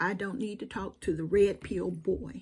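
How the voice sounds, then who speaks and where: A woman talks in a somewhat breathy voice with a Southern US accent. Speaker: YouTube commentator. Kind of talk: direct-to-camera monologue. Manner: animated.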